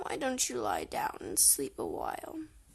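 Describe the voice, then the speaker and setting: A woman puts on a raspy character voice with an extremely high pitch. She keeps a moderate pace over light background noise. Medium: read story. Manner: gentle, coaxing.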